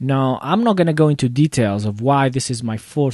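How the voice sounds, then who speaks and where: A man talks at a fairly quick pace with a non-native accent. The background is quiet. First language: not English. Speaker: computer repair shop owner, tech video host. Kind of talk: casual live commentary. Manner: halting, many fillers.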